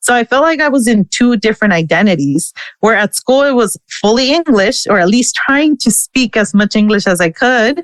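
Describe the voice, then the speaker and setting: Recorded dry and close with no echo, a woman with a Spanish accent speaks at a moderate pace and fairly high pitch, her pitch swinging very widely while her loudness stays very even. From US, daughter of Salvadoran immigrants. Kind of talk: interview conversation.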